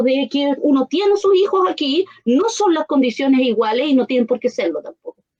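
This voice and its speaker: A woman speaks at a fairly quick pace with a high pitch and very wide pitch swings. The sound is dry and close, with no echo. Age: old. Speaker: neuroscience and education expert. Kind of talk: radio interview.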